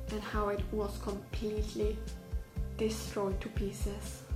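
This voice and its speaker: With clear music in the background, a woman speaks in a non-native accent. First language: not English. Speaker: vlogger. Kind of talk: casual talk to camera. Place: home room. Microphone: phone near.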